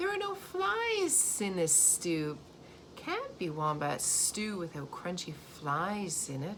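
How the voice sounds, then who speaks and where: A woman uses a put-on character voice at a fairly slow pace. Hissing and clear background noise run through the recording. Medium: read story.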